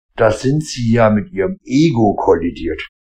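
A man talks at medium pitch in a somewhat breathy voice. The sound is dry and close, with no echo. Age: 40s. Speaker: podcaster. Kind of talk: casual monologue. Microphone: AirPods and iPhone.

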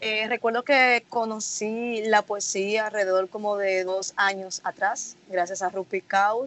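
In a normal speaking voice, a woman talks fairly slowly at a medium pitch with fairly even intonation. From Dominican Republic, Santo Domingo. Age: 20s. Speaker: student poet. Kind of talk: interview.

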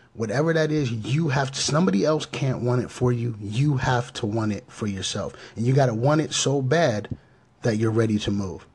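The speaker is a man with an American accent. His voice is somewhat breathy, and he talks at a moderate pace. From Pittsburgh area, Pennsylvania. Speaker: podcast host. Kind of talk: motivational podcast talk. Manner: halting, many fillers.

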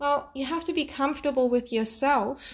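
Her tone is energetic and her pitch is high, with a non-native accent. The woman is heard in a very clean recording with a silent background. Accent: foreign. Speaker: podcaster. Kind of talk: solo motivational monologue. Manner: spontaneous, energetic.

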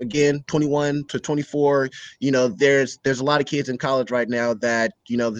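A normal speaking voice belongs to a man with a medium pitch. He goes at a fairly quick pace, his intonation fairly even. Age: 20s. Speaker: young business owner. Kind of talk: casual interview conversation.

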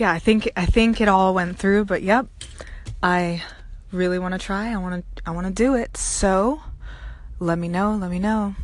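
With long, frequent pauses, a woman talks at a moderate pace and a medium pitch. Her intonation is fairly even. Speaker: poet.

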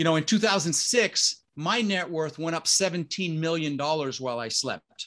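A man speaks at a moderate pace with hardly any pauses. His fairly high voice has ordinary pitch variation. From Denver, Colorado (US), born in the Netherlands. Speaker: real estate investor. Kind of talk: interview. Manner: animated.

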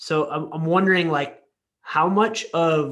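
Using a plain, everyday voice, a man speaks at a fairly high pitch. His pace is fairly slow. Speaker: podcast co-host, physiotherapist. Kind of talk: casual interview chat.

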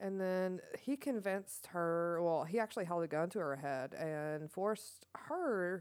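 A woman speaks in a plain, everyday voice at a fairly slow pace, her fairly low pitch showing ordinary variation. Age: 30s. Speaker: podcast co-host. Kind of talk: casual chat.

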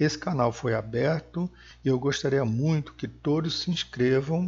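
The speaker's voice is somewhat breathy, moving at a fairly slow pace with ordinary pitch variation. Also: man. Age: 60s. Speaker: podcast host on aging and health. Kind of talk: solo podcast monologue. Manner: halting with fillers.

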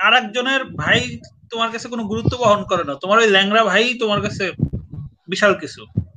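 A man's high-pitched voice, raised and projected. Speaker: writer and live-stream host. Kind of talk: casual chat. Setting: online live stream.

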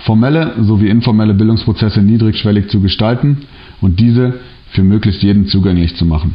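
A man's plain, everyday voice, fairly low in pitch, at a fairly quick pace with ordinary pitch variation. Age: 30s. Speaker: social worker. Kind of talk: prepared presentation. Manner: formal.

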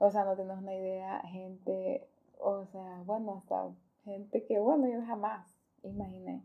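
A woman talks fairly slowly, her pitch medium and her intonation fairly even. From Honduras, Choluteca. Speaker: foundation coordinator. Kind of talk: casual interview.

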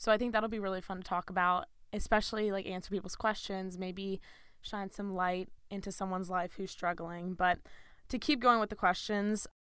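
In a very clean recording with a silent background, a woman talks in an ordinary speaking voice. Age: 20s. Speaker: podcast co-host, college student. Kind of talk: casual chat.

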